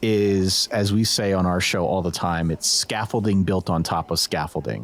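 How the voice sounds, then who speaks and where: In an American accent, a man speaks fairly slowly at a fairly low pitch in a plain, everyday voice. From Pennsylvania, US. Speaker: college football podcaster. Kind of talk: interview conversation. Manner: casual, conversational.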